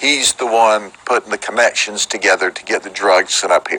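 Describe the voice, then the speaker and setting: A medium-pitched man with a Central Florida accent talks at a moderate pace. The sound is dry and close with no echo, with noticeable background noise. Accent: Polk County Florida southern. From Florida, Polk County. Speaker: sheriff. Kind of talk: press conference. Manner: animated.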